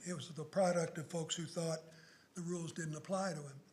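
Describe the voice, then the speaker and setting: Audible echo from the room fills the space as the words come out fairly quickly. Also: man. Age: 70s. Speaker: law professor. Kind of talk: public lecture. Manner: animated.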